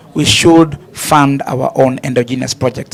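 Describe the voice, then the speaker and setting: Noticeable background noise sits behind this recording. A man speaks in a fairly high pitch with fairly even intonation. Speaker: panelist. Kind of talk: panel discussion. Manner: fast.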